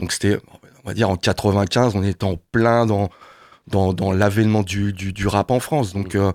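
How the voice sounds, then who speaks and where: At a fairly slow pace, a man speaks with fairly low pitch and fairly even intonation, the sound dry and close with no echo, in a very clean recording with a silent background. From Paris suburbs, Seine-Saint-Denis. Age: 50s. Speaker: singer-songwriter. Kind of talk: radio interview. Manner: halting, many hesitations.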